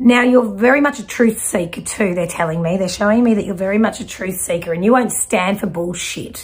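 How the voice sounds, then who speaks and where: Hardly pausing, a woman speaks at a fairly quick pace with ordinary pitch variation. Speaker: intuitive reader. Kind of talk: spiritual reading to viewer. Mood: warm, animated. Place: home room.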